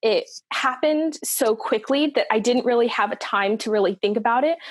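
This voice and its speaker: A woman's normal speaking voice at a moderate pace, with ordinary pitch variation. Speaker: singer. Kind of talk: casual chat.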